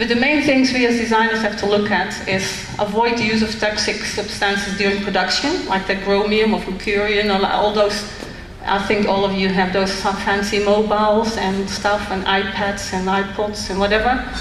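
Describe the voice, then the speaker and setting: A woman with a Dutch accent speaks at a medium pitch in a monotone, flat intonation, her loudness very even and hardly any pauses. Room echo is audible and background noise is noticeable. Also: moderate pace. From Netherlands. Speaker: designer. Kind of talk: presentation to audience. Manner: halting, with fillers.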